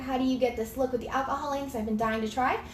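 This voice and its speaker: A woman's fairly quick, fairly even speech with a slight Southern US accent and audible room echo. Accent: slight Southern twang. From US South, North Georgia. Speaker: craft tutorial creator. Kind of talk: live tutorial. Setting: home craft room, live video. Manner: fast; casual, chatty.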